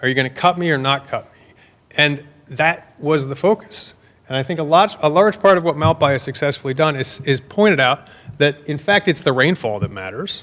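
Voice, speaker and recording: Speaking at a fairly quick pace, a man uses a fairly high voice. His pitch varies in an ordinary way. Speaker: researcher presenting at conference. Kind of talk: conference talk. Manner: fast.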